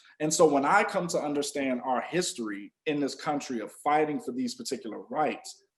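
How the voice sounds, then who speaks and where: An unremarkable speaking voice: a man with an American accent and a fairly high pitch talks at a moderate pace. His intonation is lively, with hardly any pauses. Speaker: podcast co-host. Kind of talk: podcast discussion.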